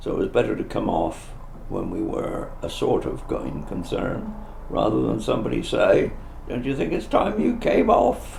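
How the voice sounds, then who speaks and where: A man with a West Country accent at a moderate pace, with audible room echo. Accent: Dorset. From southern England, Dorset. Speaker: retired travelling minister. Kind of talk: interview testimony. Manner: halting.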